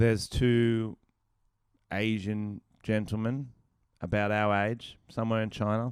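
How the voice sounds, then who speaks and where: A man with an Australian accent, fairly low-pitched, at a fairly slow pace with long, frequent pauses. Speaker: comedian. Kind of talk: casual chat. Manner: animated.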